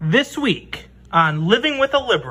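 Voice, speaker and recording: Someone uses a put-on character voice with a fairly high pitch and very wide pitch swings. The pace is moderate. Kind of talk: TV show intro announcer. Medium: comedy sketch.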